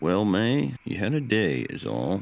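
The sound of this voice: Big pitch swings mark this put-on character voice, which has vocal fry. The delivery moves at a fairly slow pace. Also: man, fairly low pitch for a man.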